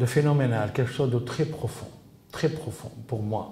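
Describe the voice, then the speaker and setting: A man's voice with audible room echo. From Tunisia. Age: 70s. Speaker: interviewee researching his father's assassination. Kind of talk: interview. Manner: halting, many repetitions and fillers.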